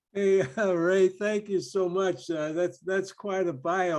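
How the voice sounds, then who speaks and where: A man with an American accent, high in pitch, at a moderate pace with fairly even intonation. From US Midwest, St. Louis, Missouri. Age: 80s+. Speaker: retired marine officer, guest speaker. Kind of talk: talk to a club meeting. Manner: halting, many fillers.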